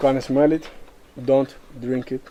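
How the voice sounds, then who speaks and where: A man speaks at a moderate pace in a fairly high pitch, with noticeable background noise present. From Cuba, Viñales. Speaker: tobacco farmer giving a tour. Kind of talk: guided tour explanation.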